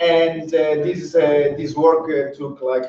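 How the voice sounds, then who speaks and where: A man talks at a fairly slow pace. The room echo is audible. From Italy. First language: Italian. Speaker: professor. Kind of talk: keynote lecture. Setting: seminar room with audience, streamed online. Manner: hesitant, many fillers.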